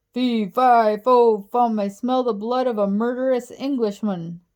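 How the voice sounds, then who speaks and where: A woman bellows in a put-on character voice, raised and projected. Her pitch is fairly high and her pace is moderate. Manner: bellowing, roaring.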